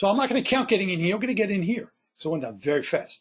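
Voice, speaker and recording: A man speaks in a high voice with an animated tone and lively intonation. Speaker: trading software presenter. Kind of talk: tutorial webinar. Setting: webinar broadcast.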